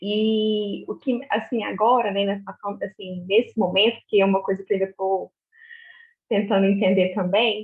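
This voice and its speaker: A woman talks at a medium pitch and a moderate pace. Her intonation is monotone and flat. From Minas Gerais, Brazil (Uberaba). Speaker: obstetric nurse. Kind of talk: casual group video chat. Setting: video call. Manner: hesitant, many fillers and repetitions.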